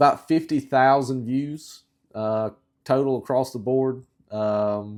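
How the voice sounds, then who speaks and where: In a very clean recording with a silent background, a man with a Southern US accent speaks at medium pitch. He goes very slowly, his intonation fairly even. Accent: southern drawl. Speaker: outdoor YouTuber. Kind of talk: casual talk to camera. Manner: long pauses; slow, halting.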